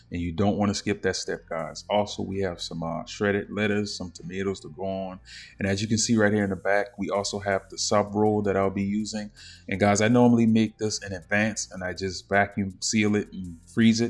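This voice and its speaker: The speaker talks at a fairly quick pace with an American accent and monotone, flat intonation. Music plays in the background. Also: man, fairly low pitch for a man. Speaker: cooking YouTuber. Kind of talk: cooking tutorial. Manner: casual, filler-heavy.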